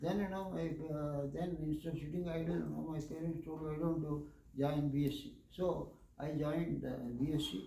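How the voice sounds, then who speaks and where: Over noticeable background noise and audible room echo, a man speaks at a moderate pace in a fairly high voice. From India, Andhra Pradesh. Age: 70s. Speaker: retired engineer, lecture speaker. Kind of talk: lecture.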